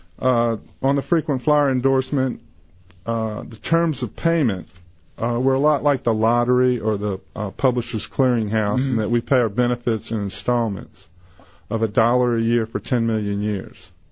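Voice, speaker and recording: At a moderate pace, a man with an American accent talks in a normal speaking voice, medium in pitch, with ordinary pitch variation. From US South. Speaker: insurance seller. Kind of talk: radio interview.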